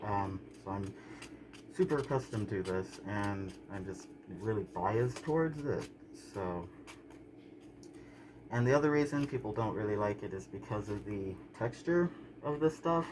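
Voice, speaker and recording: With an American accent and a relaxed tone, a man at fairly low pitch speaks at a fairly slow pace, his intonation lively and broken by long, frequent pauses. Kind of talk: casual talk to camera. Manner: relaxed, hesitant with frequent fillers.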